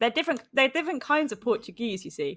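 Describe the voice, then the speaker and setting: A woman with a British accent, talking at a very fast pace, her pitch swinging very widely. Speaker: esports caster. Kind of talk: live commentary.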